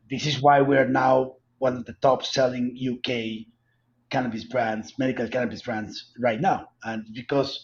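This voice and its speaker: This is a man speaking. He has a strong Colombian accent. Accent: heavy Colombian Spanish. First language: Spanish. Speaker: cannabis company executive. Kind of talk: interview.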